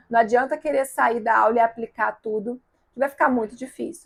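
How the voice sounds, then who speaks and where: A woman's voice with ordinary pitch variation. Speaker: communication coach. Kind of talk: online workshop lesson.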